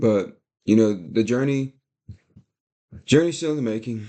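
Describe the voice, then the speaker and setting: A man with a medium pitch speaks in a dark, mellow tone with ordinary pitch variation. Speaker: day trader and video creator. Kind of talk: casual vlog talk. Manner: fast; animated.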